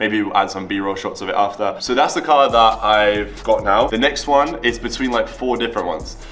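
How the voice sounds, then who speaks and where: Music plays in the background as a man talks at a fairly quick pace. He leaves hardly any pauses. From Latvia, moved to the UK at ten. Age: 20s. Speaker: entrepreneur and YouTuber. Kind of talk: casual Q&A vlog.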